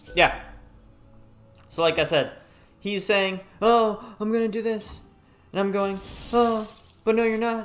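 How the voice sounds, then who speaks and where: A man's high-pitched voice with fairly even intonation and long, frequent pauses over background music. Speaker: gaming YouTuber. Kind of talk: gameplay commentary. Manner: fast.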